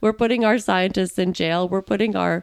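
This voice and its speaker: This is a woman with a normal speaking voice. Her pitch sits in the medium range and varies in an ordinary way. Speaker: podcast interviewer. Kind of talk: casual interview.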